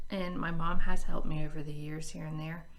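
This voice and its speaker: Fairly quick, monotone, flat intonation amid noticeable background noise and audible room echo. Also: woman. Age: 40s. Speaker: budgeting vlogger. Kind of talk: casual chat. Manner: halting.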